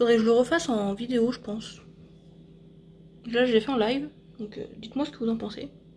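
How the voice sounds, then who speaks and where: A woman at a fairly high pitch and fairly quick pace, with long, frequent pauses, big swings in loudness and ordinary pitch variation. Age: 30s. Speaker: vlogger and beauty product seller. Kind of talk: casual vlog. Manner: soft-spoken.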